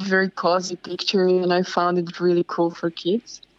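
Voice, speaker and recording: A woman with a Slovak accent. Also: dry, close sound with no echo. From Slovakia. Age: young. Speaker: mural artist and illustrator. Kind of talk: interview.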